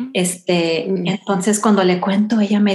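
Somewhat breathy delivery at a moderate pace, monotone and flat in intonation. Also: woman. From Houston, Texas (Salvadoran family). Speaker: runner. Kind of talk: interview. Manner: halting.

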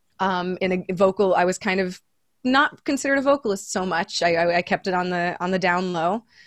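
Against a quiet background, a woman talks at a moderate pace and medium pitch. She has an unremarkable speaking voice. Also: dry, close sound with no echo. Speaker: jazz trombonist and vocalist. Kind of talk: casual interview.

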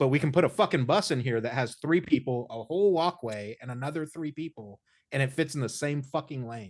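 A plain, everyday voice: a man with an American accent, medium pitch and ordinary pitch variation, at a fairly quick pace against a quiet background. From Indiana. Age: 30s. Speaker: podcast host. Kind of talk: casual interview. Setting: video call.

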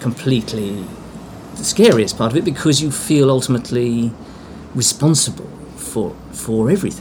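The speaker, in an English accent, moves at a moderate pace with very wide pitch swings over noticeable background noise. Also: man. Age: 50s. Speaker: theatre artistic director. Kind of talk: interview. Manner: halting.

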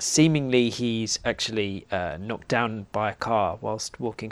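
A man with a plain, everyday voice, fairly low in pitch, at a fairly slow pace with ordinary pitch variation. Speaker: podcast co-host. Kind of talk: casual literary discussion.

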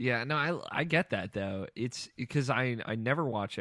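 In a very clean recording with a silent background, a man with a plain, everyday voice talks at a fairly quick pace, medium in pitch, with lively intonation. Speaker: podcast co-host. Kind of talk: casual chat.

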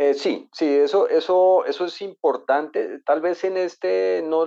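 A man against a quiet background. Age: 50s. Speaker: author and real estate entrepreneur. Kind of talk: interview. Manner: halting.

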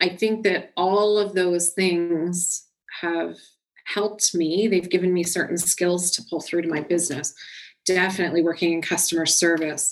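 This woman has a Canadian accent. Her pitch sits fairly low. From Canada, small-town Ontario. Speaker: media strategist, agency founder. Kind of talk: podcast interview.

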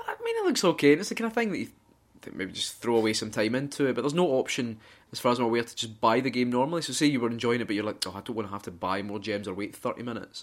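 A man with a Scottish accent talks very fast at a medium pitch, with ordinary pitch variation. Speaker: gaming podcast co-host. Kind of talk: casual chat.

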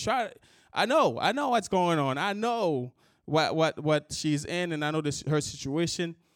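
A man speaks with a high pitch and lively intonation. The recording is very clean, with a silent background. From Haiti. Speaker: pastor. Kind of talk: sermon.

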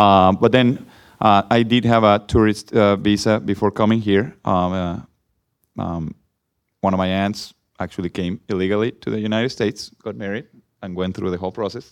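A man with a Mexican accent speaks at a moderate pace in a fairly low pitch. His intonation is fairly even, and the background is quiet. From Mexico. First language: Spanish. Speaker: former soccer player. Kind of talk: panel discussion. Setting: stage with audience.

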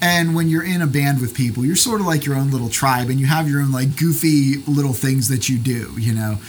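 This man's voice is fairly high-pitched and somewhat breathy, with ordinary pitch variation, very even loudness, a fairly quick pace and hardly any pauses. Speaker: podcaster and pastor. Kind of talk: casual interview chat. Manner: jokey, chatty.

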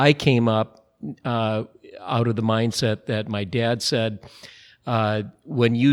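A very slow voice with an Upper Midwest accent, in a dry, close sound with no echo and a very clean recording with a silent background. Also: man. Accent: Upper Midwest American. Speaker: brewery president. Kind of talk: interview. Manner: relaxed, frequent fillers (uh).

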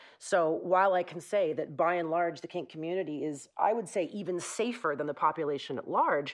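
Against a quiet background, a woman uses an ordinary speaking voice at medium pitch and a moderate pace. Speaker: therapist. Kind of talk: casual chat.

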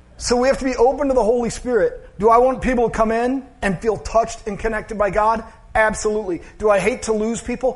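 The man's pitch is extremely high. He talks at a fairly quick pace over noticeable background noise. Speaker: pastor. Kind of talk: sermon. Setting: church. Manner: monotone at times.

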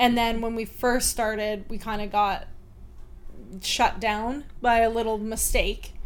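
A woman talks fairly slowly with a Canadian accent and an unremarkable speaking voice. Her pitch is fairly high and her intonation fairly even. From Chilliwack, British Columbia, Canada. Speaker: wine YouTuber. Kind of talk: casual chat.

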